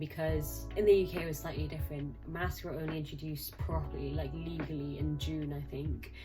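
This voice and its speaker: A woman talks at a fairly quick pace. Behind her, music is playing. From Hong Kong. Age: 20s. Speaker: trainee clinical psychologist. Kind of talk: casual talk to camera.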